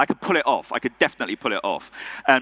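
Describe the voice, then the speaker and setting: In an English accent, a man speaks with a bright, sharp tone and vocal fry, the sound dry and close with no echo. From England. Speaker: conference speaker. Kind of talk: keynote speech. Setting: stage with audience. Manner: conversational with frequent fillers.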